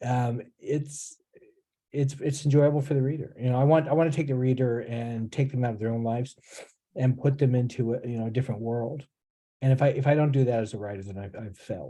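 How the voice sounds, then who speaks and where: Somewhat breathy and dark, mellow in tone, the voice moves at a fairly quick pace with a General American accent and fairly even intonation. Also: man, medium pitch for a man. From California. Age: 60s. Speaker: author. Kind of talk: interview. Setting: video call. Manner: halting, many repeats.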